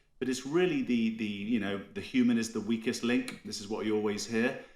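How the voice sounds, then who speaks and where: An unremarkable speaking voice from a man with an American accent, medium pitch, ordinary pitch variation and a fairly quick pace. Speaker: cybersecurity strategist. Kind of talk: podcast interview.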